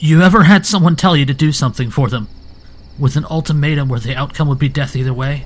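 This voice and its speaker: A man puts on a character voice, shaky and fairly high in pitch. He rattles along at a very fast pace with ordinary pitch variation. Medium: audio drama. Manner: quivering, nervous.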